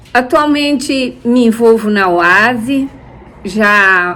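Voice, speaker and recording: A woman is speaking. Her voice sits at a fairly high pitch. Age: 70s. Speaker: church member. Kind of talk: testimony.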